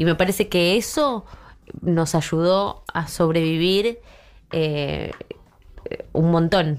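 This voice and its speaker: Speaking at a very slow pace with long, frequent pauses, a woman keeps a fairly low pitch, ordinary pitch variation and very even loudness. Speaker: humorist making satirical videos. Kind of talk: casual chat.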